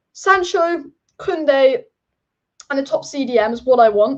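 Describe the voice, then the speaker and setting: A high-pitched woman's voice with an English accent and lively intonation. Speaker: football youtuber. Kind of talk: live stream chat. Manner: fast.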